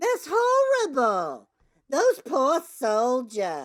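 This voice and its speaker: This is a woman doing a put-on character voice. She pitches it high. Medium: audio drama. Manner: prim, easily shocked.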